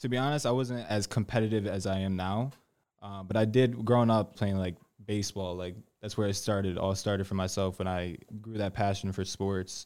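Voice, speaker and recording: A man with an American accent, using an ordinary speaking voice, talks at a fairly quick pace with fairly even intonation and fairly low pitch on a very clean recording with a silent background. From Connecticut, US. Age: 20s. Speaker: salesperson. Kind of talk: interview.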